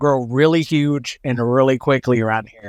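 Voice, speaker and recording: A man with an American accent and a plain, everyday voice speaks at a medium pitch and moderate pace with fairly even intonation. The recording is very clean, dry and close, with a silent background and no echo. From Oklahoma. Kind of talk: casual chat.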